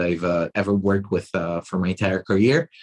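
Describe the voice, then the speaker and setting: In an Israeli accent and a monotone, flat intonation, the speaker goes at a moderate pace against a quiet background. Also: man. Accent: Israeli, non-Australian. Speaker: tech company chief executive. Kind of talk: interview. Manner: halting, many fillers and repetitions.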